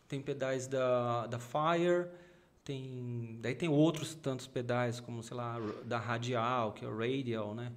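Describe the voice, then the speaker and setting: A man speaks at a very slow pace and a medium pitch, with fairly even intonation. Room echo is audible. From São Paulo, Brazil. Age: 40s. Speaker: gospel rock bassist. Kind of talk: casual chat.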